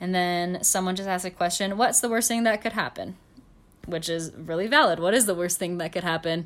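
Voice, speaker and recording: In a very clean recording with a silent background, a woman with a normal speaking voice talks fairly quickly at a medium pitch with ordinary pitch variation. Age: 20s. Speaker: podcast co-host. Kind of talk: casual chat. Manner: giggly.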